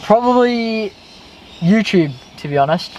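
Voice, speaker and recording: This man talks in an Australian accent. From Western Sydney, Australia. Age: 20s. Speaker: YouTuber, car vlogger, electrician. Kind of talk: casual chat.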